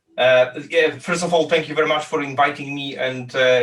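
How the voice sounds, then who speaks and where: A man at medium pitch with a Polish accent, fairly quick pace and fairly even intonation, over noticeable background noise. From Poland. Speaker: business founder. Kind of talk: interview. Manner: halting, many fillers and repeats.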